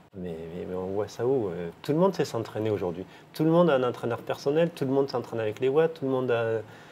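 Over light background noise, a man rattles along at a very fast pace in a dark, mellow tone with lively intonation. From southern France, Millau; southern France. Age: 50s. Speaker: former professional cyclist; interviewee. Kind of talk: interview. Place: home room. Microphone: lapel.

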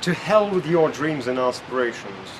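Moderate-paced male speech with very wide pitch swings, noticeable background noise behind it. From Russia. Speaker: neuroscientist and public speaker. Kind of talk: vlog talk to camera. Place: hall.

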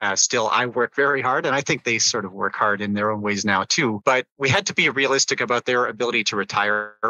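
A man with an unremarkable speaking voice talks at medium pitch and a fairly quick pace, with ordinary pitch variation and hardly any pauses. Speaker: business executive and educator. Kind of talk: interview.

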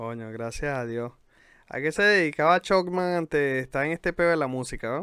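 A man's fairly high, bright, sharp voice in a Venezuelan accent, moderate in pace with lively intonation, very cleanly recorded against a silent background, dry and close with no echo. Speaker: podcast host and rapper. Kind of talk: casual chat.

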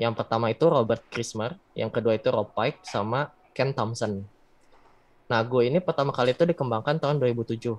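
Here a man speaks at a fairly quick pace. His pitch is medium, with ordinary variation. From Bandung, West Java, Indonesia; West Java, Indonesia. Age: 20s. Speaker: backend developer; webinar presenter. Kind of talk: tutorial. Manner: casual. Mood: casual, friendly. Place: home room. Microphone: earbuds.

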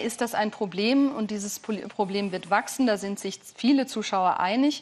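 A woman talks at a moderate pace and medium pitch, with ordinary pitch variation.

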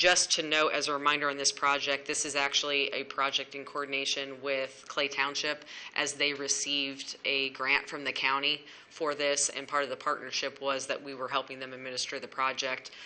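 A moderate pace with hardly any pauses. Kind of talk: formal meeting report. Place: meeting room.

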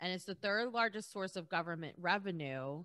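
Against a quiet background, a woman with a fairly low pitch talks at a moderate pace in an animated, bright, sharp tone. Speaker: podcast co-host. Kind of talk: casual chat. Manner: animated, laughs often. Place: home room. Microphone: studio mic.

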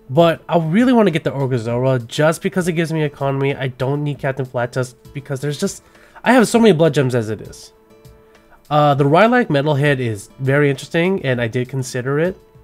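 Music plays in the background as a man talks at a very fast pace. His fairly high voice carries an American accent. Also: lively intonation. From California. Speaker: gaming content creator. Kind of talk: unscripted gameplay commentary. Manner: casual, hesitant with fillers.

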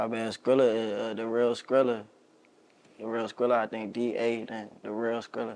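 His intonation stays monotone and flat. The man's pitch sits in the medium range. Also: moderate pace. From Maryland, Montgomery County (DC area); Maryland. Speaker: rapper; interview guest. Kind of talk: casual interview. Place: home room.

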